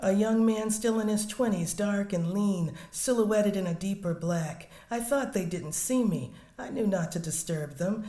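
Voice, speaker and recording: In a room with audible echo, a woman with an American accent talks at a moderate pace and medium pitch, her pitch varying in an ordinary way. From US South. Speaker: poet. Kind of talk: poetry reading.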